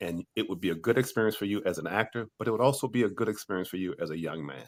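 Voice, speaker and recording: At a very fast pace, a man with a fairly low pitch talks with lively intonation in a very clean recording with a silent background. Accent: American. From USA. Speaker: actor. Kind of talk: interview.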